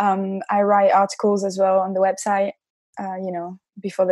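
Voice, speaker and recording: A woman with a French accent at a moderate pace, her tone dark and mellow, her pitch medium, on a very clean recording with a silent background. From France, Nantes. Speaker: football club community manager. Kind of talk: casual chat. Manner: halting.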